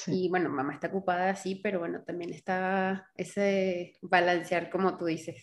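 A woman speaks at a moderate pace with a medium pitch and hardly any pauses. Her intonation stays monotone and flat. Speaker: podcast host. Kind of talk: interview.

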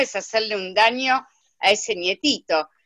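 A woman's fairly high, bright, sharp voice at a fairly slow pace, dry and close with no echo. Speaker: participant in online coaching talk. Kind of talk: casual chat.

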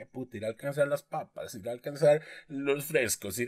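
A man with a fairly high-pitched voice speaks at a fairly quick pace. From Costa Rica. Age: 30s. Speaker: podcast co-host. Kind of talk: casual chat.

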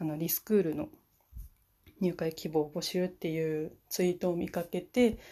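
A woman speaks at a moderate pace with a fairly low pitch. Her pitch varies ordinarily, and the background is quiet. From Fukushima, Japan. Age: 20s. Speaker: university student. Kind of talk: solo podcast self-introduction. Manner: hesitant, many fillers.

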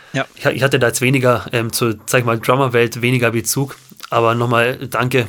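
With noticeable background noise behind him, a man talks in a medium pitch at a fairly quick pace with monotone, flat intonation. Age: 20s. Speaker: podcast co-host, guitarist. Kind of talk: casual chat. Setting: at home, remote recording.

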